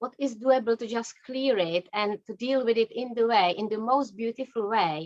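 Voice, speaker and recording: A woman with a non-native accent talks at a moderate pace with hardly any pauses, using a fairly high pitch and ordinary pitch variation. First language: not English. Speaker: energy psychology practitioner. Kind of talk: interview.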